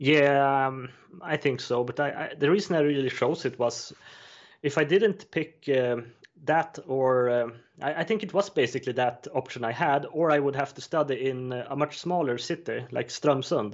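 Using ordinary pitch variation, a man with a Swedish accent talks at a moderate pace in a fairly high voice. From Sweden, Östersund countryside. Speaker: juggler and prop maker. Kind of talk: interview. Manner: halting, many fillers.

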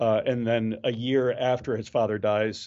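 A man has an unremarkable speaking voice. He talks at a fairly slow pace with fairly even intonation. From Maryland, US. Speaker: juggler and comedian. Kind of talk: casual interview.

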